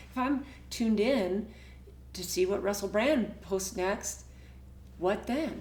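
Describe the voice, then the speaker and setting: A woman's very slow speech with long, frequent pauses and audible room echo. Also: medium pitch for a woman, ordinary pitch variation. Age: 60s. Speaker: herbal business owner and vlogger. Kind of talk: casual personal vlog monologue. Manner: halting with frequent fillers and repetitions.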